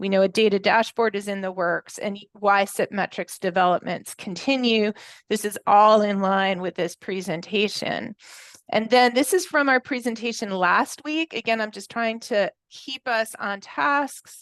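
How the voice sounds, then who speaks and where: Recorded with a dry, close sound with no echo against a quiet background, a woman has a plain, everyday voice, speaking at a fairly slow pace with ordinary pitch variation. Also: fairly high pitch for a woman. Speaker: committee meeting presenter. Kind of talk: work meeting presentation.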